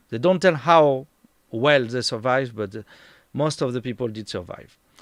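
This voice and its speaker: A man's medium-pitched voice with a French accent and ordinary pitch variation, on a very clean recording with a silent background. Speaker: tour guide and streamer. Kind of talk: live stream talk. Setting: home. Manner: halting, searching for words.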